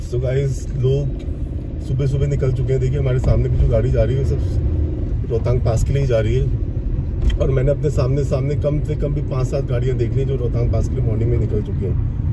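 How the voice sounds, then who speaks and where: Loud background noise sits behind a man's voice. He goes at a moderate pace with ordinary pitch variation. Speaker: driver vlogger. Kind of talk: casual vlog chat. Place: car. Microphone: phone near.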